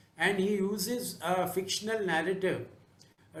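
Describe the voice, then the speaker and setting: Audible room echo surrounds a man's high-pitched voice, which has ordinary pitch variation and a fairly slow pace. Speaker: jury member. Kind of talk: jury remarks on books. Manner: halting. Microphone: too quiet.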